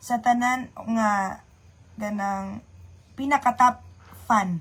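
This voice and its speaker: A woman speaks very slowly, her fairly high pitch held in a fairly even intonation. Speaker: livestreamer. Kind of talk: casual livestream chat. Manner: chatty, greeting viewers by name.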